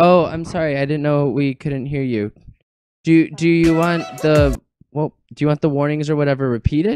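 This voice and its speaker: With music in the background, the voice moves at a moderate pace in a dry, close sound with no echo. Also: man, fairly high pitch for a man. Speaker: gaming streamer. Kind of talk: casual livestream gameplay chat. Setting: livestream with headphones. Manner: loud; animated.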